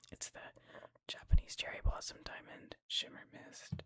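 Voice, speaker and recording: The words are whispered. They come at a moderate speed. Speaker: ASMR channel creator. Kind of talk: ASMR gaming ramble to camera. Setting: home studio, desktop microphone. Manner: whispered, soft, casual.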